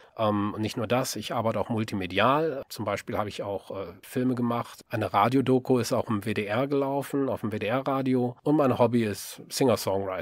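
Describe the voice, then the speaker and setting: Here is a man with an ordinary speaking voice, medium pitch and ordinary pitch variation at a moderate pace. The recording is very clean, with a silent background. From western Germany, Rhineland (Solingen, Leverkusen). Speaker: novelist and podcaster. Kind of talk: podcast introduction monologue. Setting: home-built voice booth.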